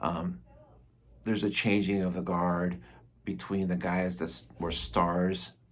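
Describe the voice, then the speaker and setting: In a room with audible echo, a man with a very deep, low pitch speaks with ordinary pitch variation. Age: 60s. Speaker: comics reviewer. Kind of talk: casual video review. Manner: casual, with many fillers.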